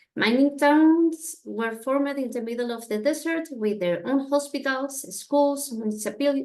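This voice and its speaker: A woman with a Spanish accent talks at a fairly slow pace with ordinary pitch variation. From Chile. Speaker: family history intern presenter. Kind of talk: presentation. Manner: halting.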